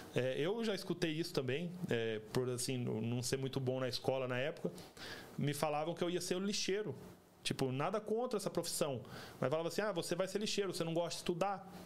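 A man talks at a fairly quick pace with a high pitch. His intonation is lively and his loudness very even. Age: 30s. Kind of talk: casual religious chat.

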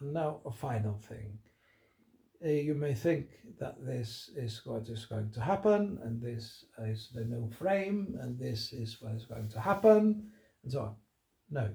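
A man talks at a fairly slow pace with a medium pitch and lively intonation. His tone is dark and mellow, and somewhat breathy. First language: Spanish. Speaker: political commentator. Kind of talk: solo monologue. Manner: halting.

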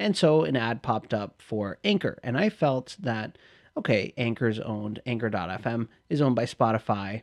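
A man speaks in an ordinary speaking voice with ordinary pitch variation, the sound dry and close with no echo over a quiet background. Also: medium pitch for a man, moderate pace. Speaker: podcast co-host. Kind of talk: casual chat, comedic banter.

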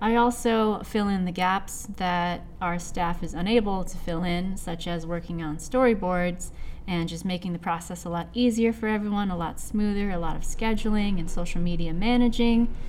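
A woman's medium-pitched voice with an American accent, fairly even intonation, a moderate pace, hardly any pauses and audible room echo. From US Pacific Northwest (Seattle, Washington). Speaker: creative director of an animation project, comic artist. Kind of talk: casual podcast interview.

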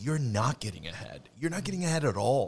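With lively intonation, a man talks fairly quickly in a somewhat breathy voice. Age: 30s. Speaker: refinishing business owner. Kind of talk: casual chat. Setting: studio.

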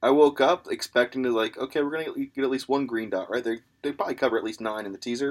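A man talking very fast, with ordinary pitch variation. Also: medium pitch for a man. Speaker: sports betting podcast co-host. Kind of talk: casual chat.

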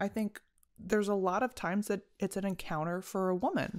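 At a medium pitch and moderate pace, a woman talks with fairly even intonation in an unremarkable speaking voice. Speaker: podcast co-host. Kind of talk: casual chat podcast.

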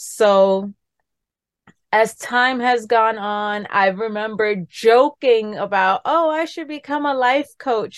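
The background is quiet as a woman talks in a New York accent. Her pitch is fairly high, with ordinary variation. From New York City, the Bronx. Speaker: wellness coach and nurse. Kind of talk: interview.

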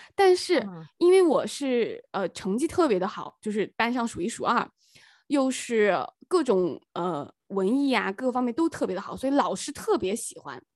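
Very wide pitch swings in a woman's high voice. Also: moderate pace, very clean recording, silent background. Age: 30s. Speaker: podcast co-host, teacher and entrepreneur. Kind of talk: casual chat.

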